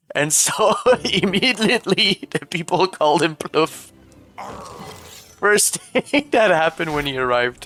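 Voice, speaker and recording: A man's high-pitched voice with lively intonation, a fairly slow pace and long, frequent pauses, over music in the background. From Quebec. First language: French. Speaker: video game streamer. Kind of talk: casual live-stream chat while gaming.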